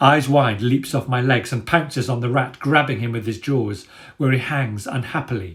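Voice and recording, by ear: The text is being read out. It is read aloud in a natural voice.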